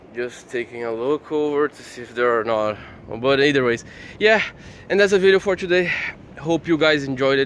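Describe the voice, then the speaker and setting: A man with a fairly high pitch and lively intonation talks at a fairly quick pace, broken by long, frequent pauses. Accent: Portuguese. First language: Portuguese. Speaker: YouTuber. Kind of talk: casual vlog. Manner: fast.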